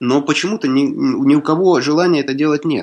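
This man's voice sits at a fairly high pitch. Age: 30s. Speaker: writer and lawyer. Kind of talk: radio interview. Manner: halting.

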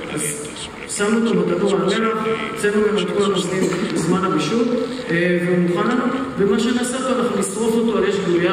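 Through strong room echo and noticeable background noise, a man with a high pitch speaks at a very fast pace. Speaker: presenter. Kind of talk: cooking demo presentation. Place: stage.

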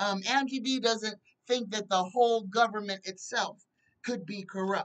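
A woman at a fairly slow pace, with ordinary pitch variation, against a quiet background. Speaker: psychic tarot show host. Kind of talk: casual livestream commentary. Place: home room. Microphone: webcam.

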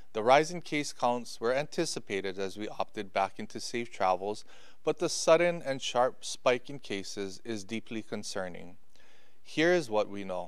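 A man at a moderate pace, lively in intonation, against a quiet background. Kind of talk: official public briefing. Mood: serious, concerned. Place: office. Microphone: podium.

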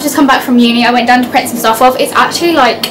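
Over noticeable background noise, a woman talks at a very fast pace. Her pitch is high. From Leicester, England. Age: young. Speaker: university student vlogger. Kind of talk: casual talk to camera. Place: home room. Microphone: phone near.

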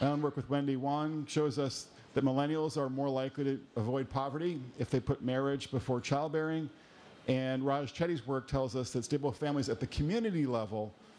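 A man speaks at a fairly quick pace with ordinary pitch variation. His loudness stays very even. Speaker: panel moderator. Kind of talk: moderator introduction. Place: hall.

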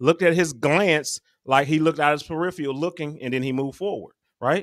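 A man's bright, sharp tone at a moderate pace, against a quiet background. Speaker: podcast co-host. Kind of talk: casual podcast discussion. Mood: curious, lightly joking. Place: home room. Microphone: studio mic.

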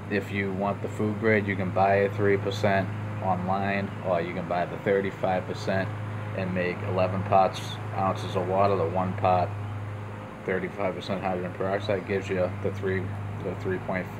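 A man speaks at a moderate pace and a fairly low pitch, in a monotone with flat intonation. Noticeable background noise is present. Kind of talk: casual tutorial. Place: home room. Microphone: phone near.

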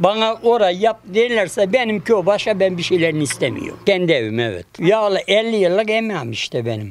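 A man talks at a moderate pace and a high pitch, with lively intonation and hardly any pauses. The sound is dry with no echo, over light background noise. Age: 70s. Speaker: construction worker, earthquake survivor. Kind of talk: interview answer. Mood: resigned, earnest. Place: street. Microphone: handheld.

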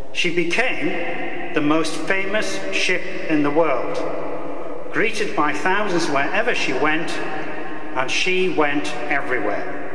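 The speech moves at a very slow pace with music playing in the background. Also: man. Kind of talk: formal speech. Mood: solemn, proud tribute. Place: hall. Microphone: podium.

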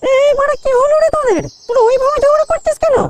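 A squeaky, put-on character voice at an extremely high pitch rattles along at a fairly quick pace. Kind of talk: comic cartoon dubbing. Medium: cartoon. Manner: scolding, sarcastic, coarse.

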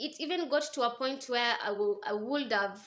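Raised and projected, a woman's voice has a bright, sharp tone, lively intonation and a fairly slow pace. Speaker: vlogger. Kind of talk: casual vlog storytelling. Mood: reflective, recounting painful past. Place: home room. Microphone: phone near.

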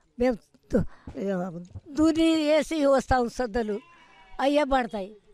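A woman's high voice with ordinary pitch variation comes in a dry sound with no echo, with faint music in the background. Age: 80s+. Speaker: centenarian farmer; interviewee. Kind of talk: interview; interview answer. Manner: halting. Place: open country.

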